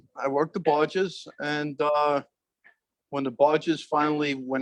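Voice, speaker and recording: The sound is dry and close, with no echo. A speaker with a New York accent talks at a moderate pace. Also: man. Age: 70s. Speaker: retired harbor master and foreman. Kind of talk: oral history interview. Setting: aboard a barge with small audience.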